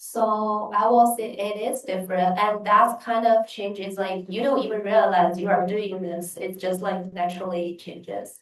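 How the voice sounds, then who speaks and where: A woman with a Chinese accent speaks at a moderate pace and medium pitch, with hardly any pauses and fairly even intonation. Her loudness swings widely. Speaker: exchange student. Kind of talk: panel Q&A answer.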